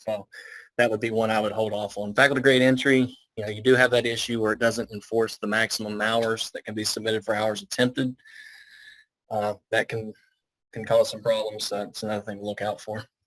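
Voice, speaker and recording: Delivered at a fairly quick pace, this voice has a strong Southern US accent and monotone, flat intonation. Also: man, medium pitch for a man. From Alabama. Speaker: IT consultant. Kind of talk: business video meeting.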